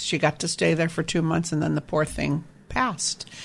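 The speaker is a woman. Her voice has vocal fry. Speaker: reverse mortgage specialist. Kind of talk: radio interview about retirement finance. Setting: radio show.

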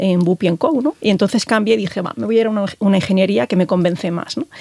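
Against noticeable background noise, a woman talks at a fairly quick pace with ordinary pitch variation in a dry, close sound with no echo. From Galicia, Spain. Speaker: telecom engineer and tech executive. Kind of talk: interview. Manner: hesitant, many fillers.

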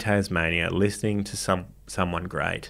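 A man with an Australian accent speaks at a moderate pace and a fairly low pitch. The recording is very clean, with a silent background. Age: 40s. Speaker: comedian. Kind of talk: casual chat. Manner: animated.

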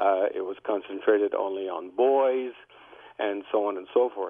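With a fairly low pitch, a man speaks in a plain, everyday voice. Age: 60s. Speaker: dentist. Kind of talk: call-in expert comment.

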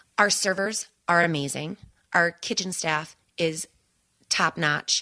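With an American accent, a woman speaks in a fairly low pitch and a bright, sharp tone, on a very clean recording with a silent background. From US Midwest. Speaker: bar and grill owner.

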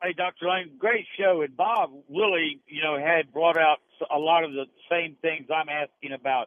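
A man with a plain, everyday voice talks at a moderate pace. His pitch is fairly high and his intonation fairly even. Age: 60s. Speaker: radio caller. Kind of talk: call-in question to radio doctors. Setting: phone call.

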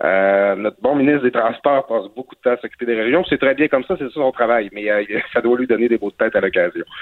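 At a medium pitch and with ordinary pitch variation, a man talks very fast. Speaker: newspaper columnist. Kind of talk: commentary. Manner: halting.

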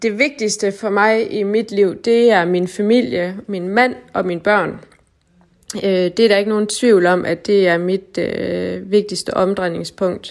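At a very slow pace, a woman talks. Her pitch moves with ordinary variation. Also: medium pitch for a woman. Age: 30s. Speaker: nurse. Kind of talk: documentary interview.

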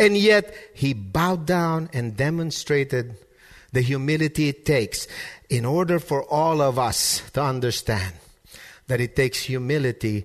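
A man's fairly high voice at a fairly slow pace over a quiet background. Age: 30s. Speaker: pastor. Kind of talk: sermon. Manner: repeats words when starting sentences.

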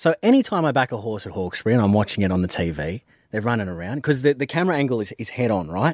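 In a very clean recording with a silent background, a man with an Australian accent speaks at a very fast pace. His medium-pitched voice makes very wide pitch swings. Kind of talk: casual radio banter. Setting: radio studio.

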